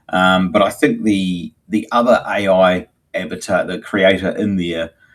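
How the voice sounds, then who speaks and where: A man with a New Zealand accent is speaking. His pace is fairly slow. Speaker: agency owner, live show co-host. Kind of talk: casual chat. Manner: halting, many fillers.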